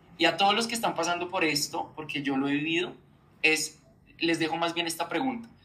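A man speaks at a fairly quick pace in a high voice with ordinary pitch variation. Background noise is noticeable. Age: 20s. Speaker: journalist and communicator. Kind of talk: personal testimony in interview.

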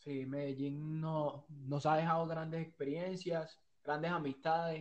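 Fairly high-pitched, a man speaks at a fairly slow pace in a monotone, flat delivery. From Venezuela. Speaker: small business owner. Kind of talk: casual interview.

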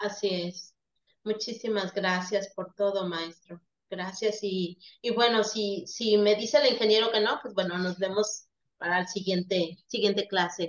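A woman with an ordinary speaking voice talks at a fairly slow pace with fairly even intonation. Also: medium pitch for a woman. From Veracruz, Mexico. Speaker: nursing student. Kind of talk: farewell remarks in online class.

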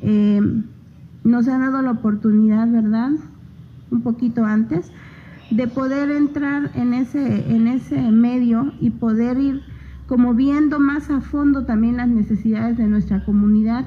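An unremarkable speaking voice moves at a fairly slow pace, its loudness very even and its intonation fairly even. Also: woman, fairly high pitch for a woman. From Oaxaca, Mexico (Isthmus of Tehuantepec). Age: 30s. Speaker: local political candidate, agronomist. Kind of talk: radio interview. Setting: radio studio.

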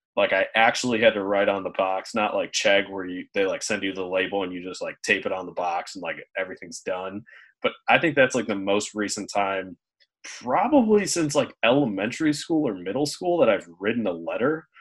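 Against a quiet background, a man with an unremarkable speaking voice speaks fairly quickly at a fairly low pitch, his intonation lively. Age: 20s. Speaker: podcast co-host. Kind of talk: casual chat. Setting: video call.

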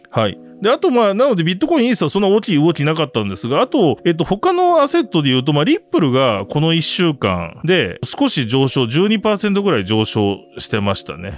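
The speech runs at a fairly quick pace with hardly any pauses. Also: man. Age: 40s. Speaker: podcast host, web3 media editor. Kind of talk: casual news discussion.

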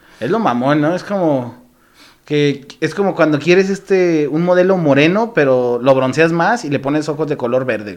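Lively intonation marks this man's fairly high voice. He speaks at a moderate pace. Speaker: comedian. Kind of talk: casual chat. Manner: animated.

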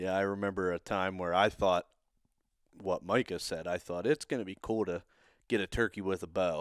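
A man speaks in an ordinary speaking voice at a fairly low pitch and a fairly quick pace. The sound is dry and close, with no echo. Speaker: podcast host, turkey hunter. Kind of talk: casual chat, interview.

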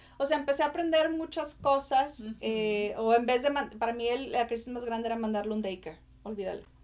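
A woman is speaking with a high pitch. Her pitch varies in an ordinary way. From Mexico, Monterrey. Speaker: marketing and human development professional. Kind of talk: podcast interview.

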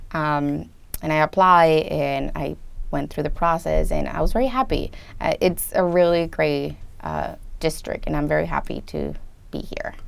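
With a Spanish accent, a woman is talking. She keeps a moderate speed. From Colombia, moved to US at 13. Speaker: first grade dual language teacher. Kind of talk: interview.

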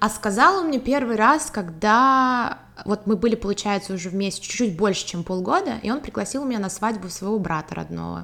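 A woman speaks with an ordinary speaking voice at a moderate pace. Her fairly high pitch moves with lively intonation. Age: 20s. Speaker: marketing student, consultant and part-time model. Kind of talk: personal testimony in casual interview.

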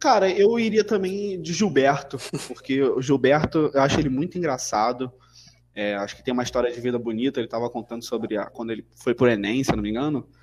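A man with a plain, everyday voice at medium pitch talks at a fairly quick pace, with lively intonation and big swings in loudness. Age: 20s. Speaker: podcast guest. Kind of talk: casual chat.

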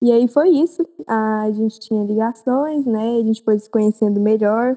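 A woman speaks with a fairly high pitch and a dark, mellow tone. The recording is dry and close, with no echo. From Goiânia, Brazil. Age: 18. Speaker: medical student. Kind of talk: casual chat.

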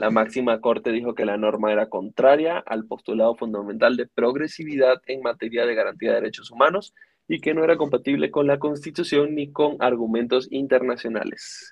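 Hardly any pauses, a fairly quick pace and a man's medium pitch with ordinary variation, in a normal speaking voice. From Venezuela. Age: 20s. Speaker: podcast co-host, news segment presenter. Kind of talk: casual news commentary.

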